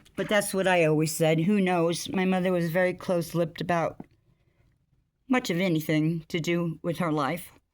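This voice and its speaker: Speaking at a moderate pace, a woman uses a fairly low pitch and fairly even intonation. The recording is very clean, with a silent background. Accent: American. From US, Navy family (California, Vietnam, England, New York). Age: 60s. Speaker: vlogger. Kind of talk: personal vlog storytelling. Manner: halting, stumbles on words.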